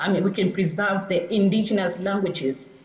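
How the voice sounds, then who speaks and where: Her pitch sits in the medium range, and she talks at a moderate pace. The woman's voice carries audible room echo. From Tanzania. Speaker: professor. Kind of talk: lecture. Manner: halting.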